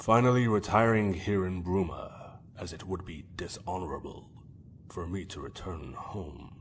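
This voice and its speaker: A man uses a put-on character voice at a very deep, low pitch, in a solemn tone. His loudness swings widely over clear background noise. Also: moderate pace, ordinary pitch variation. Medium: machinima. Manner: solemn, formal.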